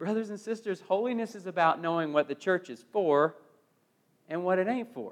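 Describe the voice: The pace is moderate, and the pitch varies in an ordinary way. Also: man, high pitch for a man.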